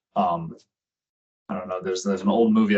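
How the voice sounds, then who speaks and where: A man rattles along very fast, his pitch varying in an ordinary way. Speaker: tech company executive and presenter. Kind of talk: presentation to a virtual meeting. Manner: filler-heavy, conversational.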